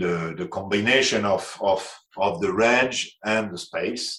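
With a French accent, a man speaks at a fairly low pitch. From France. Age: 60s. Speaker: aviation executive. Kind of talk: interview. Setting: remote call. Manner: halting.

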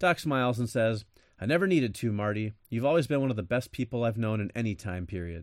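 Ordinary pitch variation in plain reading aloud

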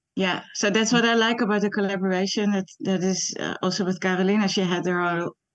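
A woman with a Dutch accent speaks at medium pitch with fairly even intonation against a quiet background. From Netherlands. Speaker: animation artist. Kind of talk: interview. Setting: video call.

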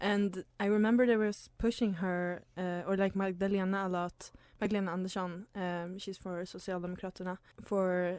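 Her pitch sits at a medium level for a woman. She speaks in a monotone with flat intonation. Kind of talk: student radio discussion. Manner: thoughtful, hesitant.

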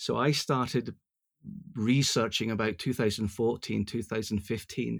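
Over a silent background in a very clean recording, a man speaks at a moderate pace with a medium pitch, fairly even intonation and vocal fry. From Scotland, Glasgow. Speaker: cider importer and magazine publisher. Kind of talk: casual interview. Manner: halting, many fillers and repetitions.

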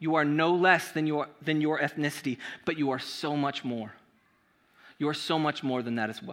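An American accent marks this man's ordinary speaking voice, which is fairly high in pitch and moderate in pace. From Southern California. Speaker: pastor. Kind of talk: sermon. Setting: church. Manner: casual.

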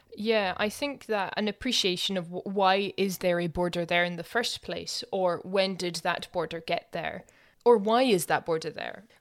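A woman talks in a Scottish accent at a medium pitch. The recording is very clean, with a silent background. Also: ordinary pitch variation, moderate pace. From Scotland. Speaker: podcast host. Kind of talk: casual chat.

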